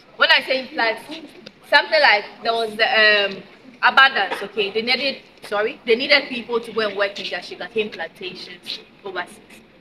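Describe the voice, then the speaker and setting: Noticeable background noise accompanies a woman speaking at a fairly quick pace. Her pitch is fairly high with ordinary variation, and her loudness swings widely. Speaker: tour guide. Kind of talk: guided tour explanation. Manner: fast.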